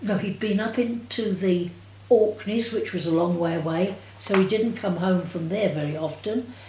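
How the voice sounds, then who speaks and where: Lively intonation from a woman at medium pitch, dark and mellow in tone, somewhat breathy, at a fairly slow pace. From England. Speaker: war-time witness. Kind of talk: interview answer.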